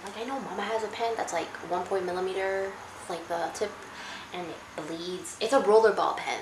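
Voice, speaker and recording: A woman with a medium-pitched voice is heard through noticeable background noise and audible room echo. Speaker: YouTuber. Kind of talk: casual chat. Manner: fast; halting.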